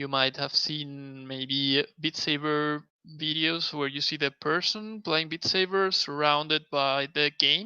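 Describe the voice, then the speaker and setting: A man speaks very slowly in a Spanish accent, his tone bright and sharp. The sound is dry and close with no echo, and his intonation stays fairly even. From Spain. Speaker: mixed reality video producer. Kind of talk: live stream tutorial. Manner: halting.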